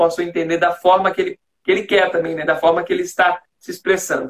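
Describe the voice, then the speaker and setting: A man's high voice moves along at a fairly brisk speed. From Greater Florianópolis, Santa Catarina, Brazil. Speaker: communication coach and live stream host. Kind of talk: interview. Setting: Instagram live video call.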